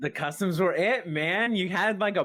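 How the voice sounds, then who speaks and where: Loud and high-pitched, a man speaks with lively intonation. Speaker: streamer, gamer. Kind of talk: podcast interview, casual chat.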